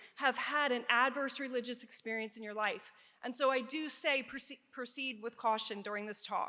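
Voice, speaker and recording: A raised, projected voice with a bright, sharp tone and a slight Pennsylvania accent. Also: woman. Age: 50s. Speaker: nurse researcher and educator. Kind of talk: conference presentation.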